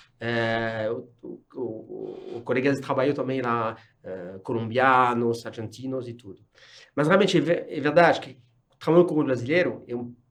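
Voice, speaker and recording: Man in a French accent, medium pitch, lively intonation. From France. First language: French (speaking Portuguese). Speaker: corporate executive. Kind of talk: casual interview. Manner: halting.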